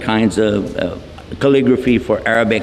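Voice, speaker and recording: With a Texan accent, a man speaks at medium pitch with ordinary pitch variation, over audible room echo and noticeable background noise. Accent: Texan American English. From Texas. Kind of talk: lecture. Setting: hall with audience. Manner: animated.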